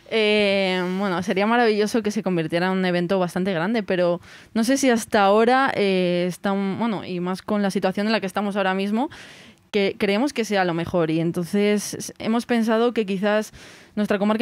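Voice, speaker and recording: An unremarkable speaking voice from a woman, medium in pitch, fairly even in intonation and fairly quick. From Spain, Segovia province. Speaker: music festival organizer. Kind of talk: interview.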